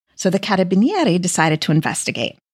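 With an American accent, a woman speaks at a moderate pace in a medium pitch, somewhat breathy and with very wide pitch swings. The sound is dry and close with no echo, on a very clean recording with a silent background. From United States. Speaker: podcast host and food writer. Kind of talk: true-crime news narration, scripted-sounding. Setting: podcast recording. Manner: measured, storytelling tone.

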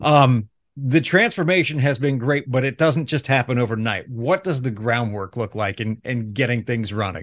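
A plain, everyday voice with an American accent moves at a moderate pace with hardly any pauses. Its pitch varies in an ordinary way, over a quiet background. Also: man, medium pitch for a man. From Ohio, US Midwest. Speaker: chamber of commerce podcast host. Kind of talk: podcast interview.

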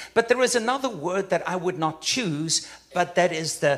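Very wide pitch swings mark a man's animated delivery. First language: not English. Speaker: guest preacher. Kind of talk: sermon. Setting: church.

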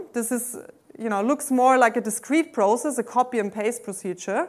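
The recording is very clean, with a silent background. A woman speaks in a high pitch with a German accent. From Austria. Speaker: mathematics professor. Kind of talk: lecture. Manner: hesitant, many fillers.

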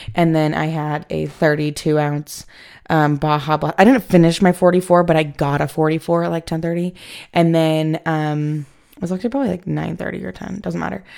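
A woman's very deep, low voice with ordinary pitch variation, a fairly quick pace and an animated tone, in a very clean recording with a silent background. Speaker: podcast host. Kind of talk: casual solo podcast chat. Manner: rambling, filler words; animated, chatty.

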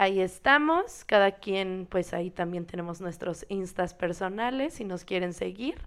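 The recording is very clean, with a silent background. A woman at a medium pitch speaks fairly slowly with ordinary pitch variation. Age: 20s. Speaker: podcast co-host, dancer. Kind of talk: casual chat.

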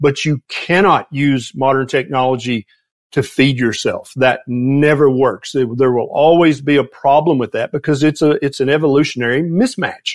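A man with a Southern US accent speaks at a fairly high pitch with fairly even intonation. The sound is dry and close, with no echo. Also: moderate pace. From US South, Tennessee. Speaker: physician and health author. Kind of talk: casual interview conversation.

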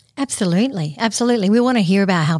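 A woman speaks with an Australian accent at a very fast pace. Her pitch variation is ordinary. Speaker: podcast host. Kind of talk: podcast interview. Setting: studio.

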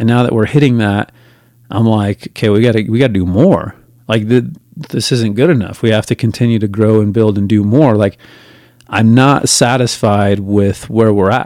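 Speaking at a moderate pace, a man has a fairly low, dark, mellow tone, ordinary pitch variation and very even loudness. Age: 40s. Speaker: podcast host. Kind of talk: solo podcast monologue. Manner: casual with many filler words.

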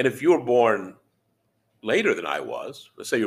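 A plain, everyday voice with an American accent and lively intonation moves at a fairly quick pace on a very clean recording with a silent background. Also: man. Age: 60s. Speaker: podcast host. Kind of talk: casual monologue. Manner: conversational.

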